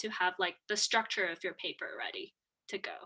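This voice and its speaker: Speaking with a non-native accent, a woman uses a fairly high pitch and a bright, sharp tone at a moderate pace. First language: not English. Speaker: undergraduate honors student. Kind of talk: panel discussion.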